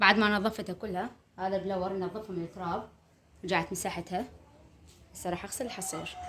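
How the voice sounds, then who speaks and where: A woman with an Iraqi accent speaks at a moderate pace and medium pitch, leaving long, frequent pauses. Her intonation is monotone and flat, and there is noticeable background noise. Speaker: homemaker vlogger. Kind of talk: casual vlog narration. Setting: at home.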